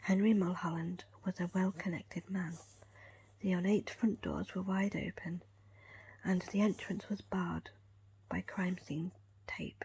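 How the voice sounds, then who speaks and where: A woman's calm, soft-spoken whisper, somewhat breathy, at a fairly slow pace with long, frequent pauses. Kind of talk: ASMR whisper book reading with finger tracing. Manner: whispered, calm, soft.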